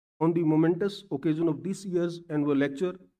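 A man's dark, mellow tone at a fairly quick pace, fairly even intonation, quiet background. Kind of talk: formal speech. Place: hall. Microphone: podium.

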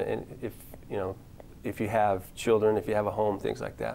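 A man with an American accent talks at a very fast pace. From Utah, US. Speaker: attorney. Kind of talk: casual interview chat. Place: studio. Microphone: lapel.

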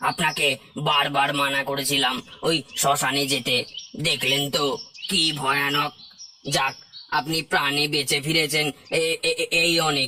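A man's cartoonish character voice, fairly high in pitch, with monotone, flat intonation, very even loudness and a moderate pace.

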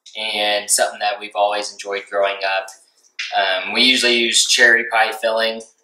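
A man with a fairly low pitch speaks at a moderate pace. His intonation is monotone and flat, and room echo can be heard. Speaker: outdoor cooking channel host. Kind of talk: cooking tutorial. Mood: relaxed, friendly. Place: kitchen. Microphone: camera far.

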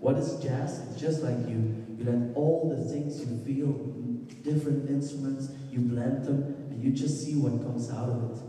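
Strong room echo surrounds a man speaking at a moderate pace in a fairly high voice. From Belgium. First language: Dutch. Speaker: musician. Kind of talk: presentation talk. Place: hall. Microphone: handheld.

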